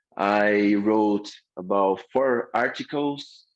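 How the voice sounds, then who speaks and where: A man's fairly low voice in a Portuguese accent, with ordinary pitch variation. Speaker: course instructor. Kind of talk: lecture. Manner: halting.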